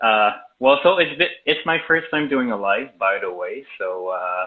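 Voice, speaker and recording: In a Quebec accent, a man with a fairly high pitch speaks at a fairly slow pace, swinging very widely in pitch. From Quebec, Laurentians. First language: French. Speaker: video and sound editor. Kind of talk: casual chat. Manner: halting, many fillers.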